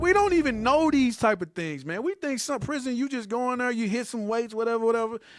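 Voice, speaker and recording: In an animated tone, a man with an American accent speaks at an extremely high pitch. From St. Louis, US Midwest. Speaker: Bible teacher. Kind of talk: casual group discussion.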